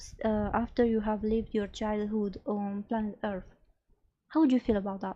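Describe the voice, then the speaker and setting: A woman speaks with a non-native accent at a fairly high pitch. Her voice is somewhat breathy. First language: not English. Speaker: streamer. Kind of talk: casual live stream talk. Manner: halting.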